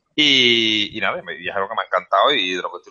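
A man with an Andalusian accent, at a very fast pace. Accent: Andalusian Spanish (Seville). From Seville, Spain. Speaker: vaping channel creator. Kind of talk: casual chat.

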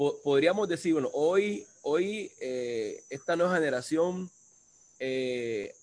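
The speaker has a plain, everyday voice. Pitch varies in an ordinary way. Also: man. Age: 30s. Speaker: livestream host. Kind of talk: casual interview. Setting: video call.

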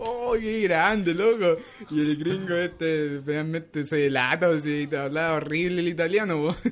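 Over noticeable background noise, a man speaks fairly slowly in a high voice with ordinary pitch variation. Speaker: podcast host. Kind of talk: casual chat.

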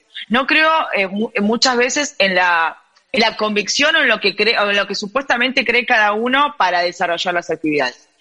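In a Rioplatense accent, a woman with a fairly high pitch speaks at a moderate pace with lively intonation. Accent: Argentine Spanish (rioplatense). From Argentina. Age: 30s. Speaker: gender equity in sport advocate. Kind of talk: interview.

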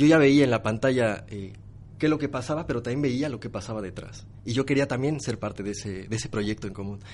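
With a quiet background behind him, a man talks at a fairly quick pace at a medium pitch, with ordinary pitch variation. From Mexico. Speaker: social media manager. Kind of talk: interview. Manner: animated.

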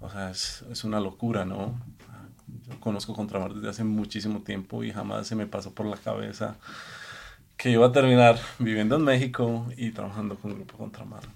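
This man's voice is fairly low in pitch, with fairly even intonation. He speaks at a fairly quick pace, and his loudness swings widely. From Colombia. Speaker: executive chef. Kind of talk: casual chat. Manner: halting.

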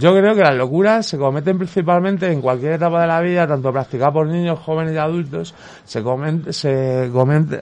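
In an unremarkable speaking voice, a man talks at a fairly quick pace with a fairly high pitch and ordinary pitch variation. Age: 40s. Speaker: mental health service user. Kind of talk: casual chat.

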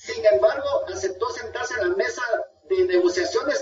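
A man speaks at an extremely high pitch. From Guatemala. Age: 50s. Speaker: lawyer. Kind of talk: radio interview.

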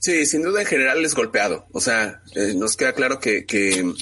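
A man's bright, sharp voice with lively intonation and a fairly quick pace. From Mexico City. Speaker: football fan blogger. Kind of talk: casual chat.

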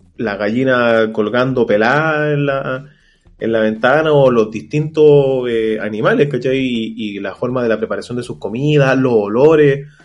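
At a fairly slow pace, a man with a Chilean accent speaks at a medium pitch with ordinary pitch variation. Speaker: podcast co-host. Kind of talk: casual chat.

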